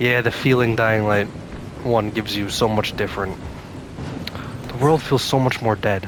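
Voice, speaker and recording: Over noticeable background noise, the speaker keeps a moderate pace and fairly even intonation, with long, frequent pauses. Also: man, medium pitch for a man. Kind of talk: gameplay commentary. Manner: whispering.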